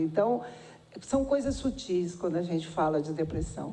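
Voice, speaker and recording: Audible room echo surrounds a woman speaking at a moderate pace. Her intonation is lively. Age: 60s. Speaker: nursing department head at a university. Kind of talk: public hearing testimony. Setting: public hearing in a city council chamber.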